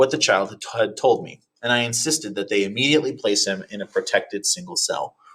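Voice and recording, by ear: Someone reading aloud in a natural voice, the background quiet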